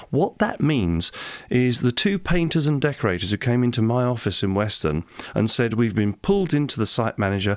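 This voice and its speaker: A man with an English accent speaks in very even loudness while his pitch swings very widely. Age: 60s. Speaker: parliamentary candidate. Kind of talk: radio interview. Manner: animated.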